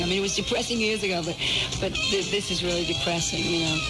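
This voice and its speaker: Through loud background noise, a woman speaks with an American accent. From New York City. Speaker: rock singer and record producer. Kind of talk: radio interview answer. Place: studio. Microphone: old recording.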